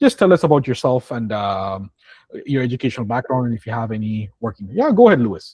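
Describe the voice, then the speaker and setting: A somewhat breathy man speaks very fast with ordinary pitch variation and big swings in loudness. The sound is dry and close with no echo over a quiet background. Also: medium pitch for a man. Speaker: IT training instructor. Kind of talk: online class introductions and career advice. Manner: casual, repetitive fillers.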